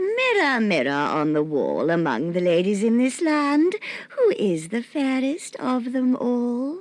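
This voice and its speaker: Using a put-on character voice, a woman speaks at a high pitch. Her delivery is fairly slow, with very wide pitch swings. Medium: read story. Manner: scheming, falsely friendly.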